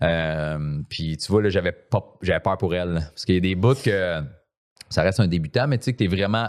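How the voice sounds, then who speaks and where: In a Quebec accent, a man talks at a moderate pace in a very deep, low voice with ordinary pitch variation, the sound dry and close with no echo. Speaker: podcast guest. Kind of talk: casual chat. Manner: casual, talkative.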